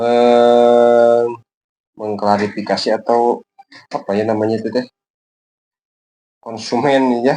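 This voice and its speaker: A man's very slow, monotone delivery with flat intonation, a dark, mellow tone and long, frequent pauses. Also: medium pitch for a man. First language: Sundanese (speaking Indonesian). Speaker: kite-making YouTuber. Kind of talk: tutorial. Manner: halting, many filler pauses.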